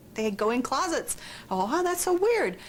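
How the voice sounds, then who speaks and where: Over noticeable background noise, a woman with an American accent talks at a fairly quick pace with very wide pitch swings. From Southern California. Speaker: horror author. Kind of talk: interview. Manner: casual, slangy.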